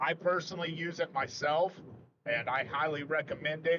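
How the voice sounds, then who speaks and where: A man's fairly high voice at a fairly quick pace. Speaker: storm chaser. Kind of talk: live stream commentary. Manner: soft-spoken.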